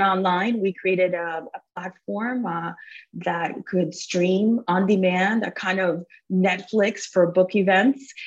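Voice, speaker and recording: In a Spanish accent, a woman talks at a very slow pace with fairly even intonation. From Cuba, raised in Miami. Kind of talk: casual interview.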